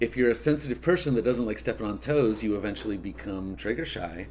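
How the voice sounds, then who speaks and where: A normal speaking voice with an American accent and lively intonation. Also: man. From Oklahoma, Tulsa. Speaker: bass player. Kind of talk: casual chat. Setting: at his home.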